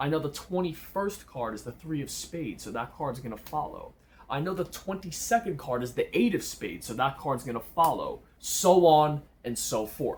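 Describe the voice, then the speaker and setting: A man's fairly high, somewhat breathy voice at a moderate pace with lively intonation. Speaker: magician teaching card tricks. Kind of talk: tutorial. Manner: casual.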